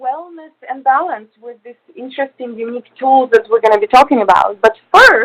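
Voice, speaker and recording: A woman with a Russian accent uses a high pitch, lively intonation and big swings in loudness, captured with a dry, close sound and no echo. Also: moderate pace. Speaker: radio host. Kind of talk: radio interview. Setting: studio.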